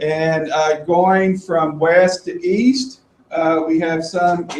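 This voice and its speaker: High-pitched man's voice with a strong Kentucky accent. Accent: thick Kentucky. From Kentucky, US South (Appalachian eastern Kentucky). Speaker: assistive technology presenter. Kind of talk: presentation to a live audience.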